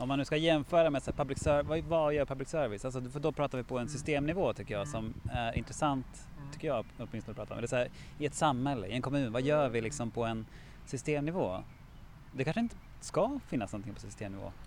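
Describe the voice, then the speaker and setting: This man talks at a very fast pace with medium pitch. His pitch varies in an ordinary way. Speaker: podcast host, municipal innovation worker. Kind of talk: casual chat. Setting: outdoors.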